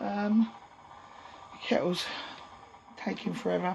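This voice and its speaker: Noticeable background noise behind a woman's very slow speech. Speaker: allotment vlogger. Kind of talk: casual vlog. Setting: outdoors at allotment shed. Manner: hesitant, many ums.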